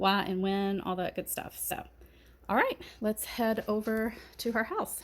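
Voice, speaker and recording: Speaking at a fairly slow pace in a Kentucky accent, a woman keeps a monotone, flat intonation. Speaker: gardening vlogger. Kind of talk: casual chat.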